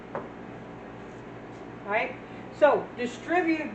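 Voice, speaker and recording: Noticeable background noise runs through the clip. Audible room echo is present too. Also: woman. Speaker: math teacher. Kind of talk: lecture. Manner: fast; casual.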